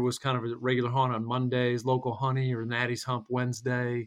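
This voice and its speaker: At a moderate pace, a man talks at a medium pitch. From North Carolina (Hickory), moved from Michigan as a kid. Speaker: podcast guest, fitness group member. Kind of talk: casual interview.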